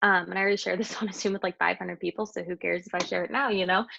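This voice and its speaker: The sound is dry and close with no echo as a woman speaks with vocal fry. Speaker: network marketing guest speaker. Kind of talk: live video call training. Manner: fast.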